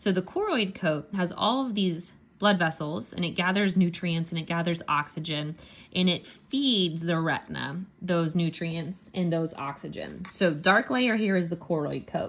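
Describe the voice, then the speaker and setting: With a Pittsburgh accent, a woman speaks at a fairly low pitch with ordinary pitch variation on a very clean recording with a silent background. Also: moderate pace. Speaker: science teacher. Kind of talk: tutorial. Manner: casual, conversational.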